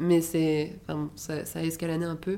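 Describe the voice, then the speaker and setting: Speaking at a very slow pace, a woman has a dark, mellow tone and a fairly low pitch. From Paris, France. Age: 20s. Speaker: podcast guest sharing personal story. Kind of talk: personal testimony in casual interview.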